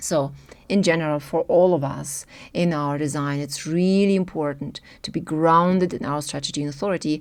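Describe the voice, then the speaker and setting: With a non-native accent, a woman speaks at a moderate pace in a very deep, low pitch and fairly even intonation, on a very clean recording with a silent background. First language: German. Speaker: human design teacher. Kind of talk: video talk to camera.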